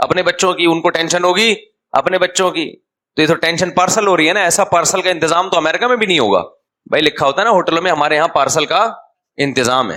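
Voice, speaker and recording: A man with a high pitch speaks in an animated tone with ordinary pitch variation. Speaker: Islamic scholar giving a sermon. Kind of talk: religious sermon (bayan). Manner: conversational, humorous, animated.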